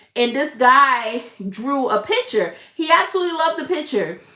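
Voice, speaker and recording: A woman with an American accent speaks in a raised, projected voice at a high pitch, her tone animated and her intonation lively at a moderate pace. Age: 50s. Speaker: crochet content creator. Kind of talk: casual live-stream chat.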